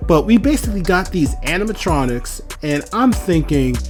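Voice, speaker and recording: A moderate pace, with music in the background. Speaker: movie reviewer. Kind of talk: casual movie review commentary.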